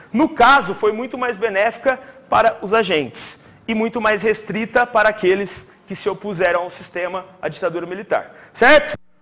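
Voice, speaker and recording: A man with a high pitch and ordinary pitch variation speaks in an animated tone against noticeable background noise. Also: moderate pace. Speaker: teacher. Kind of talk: exam review lecture to live class. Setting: classroom with audience, also streamed.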